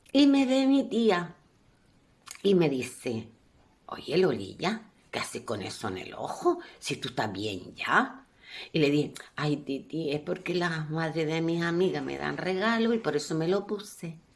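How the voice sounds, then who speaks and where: A woman speaks at a fairly slow pace in a fairly low, animated voice with vocal fry and very wide pitch swings. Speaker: professional storyteller. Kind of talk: storytelling, elder telling a life story from childhood. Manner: warm, homely, narrating with diminutives and a folksy tone; animated, with repetitions and a few hesitations.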